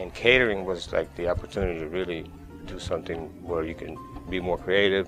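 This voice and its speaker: Music plays in the background as a man with a very deep, low voice talks at a fairly quick pace. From Colombia, Caribbean coast (Barranquilla). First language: Spanish. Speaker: chef, catering company owner. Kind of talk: interview answer. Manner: soft-spoken, friendly.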